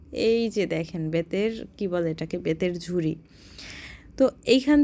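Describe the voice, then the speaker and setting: Lively intonation in a female voice of dark, mellow tone. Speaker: vlogger. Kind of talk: travel vlog narration. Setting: in a car at night, then outdoor market. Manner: conversational.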